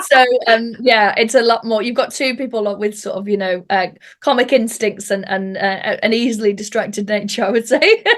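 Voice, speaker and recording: This speaker has a North Welsh accent. The intonation stays fairly even. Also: woman, fairly high pitch for a woman, moderate pace. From North Wales. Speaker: stand-up comedian and podcaster. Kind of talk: interview.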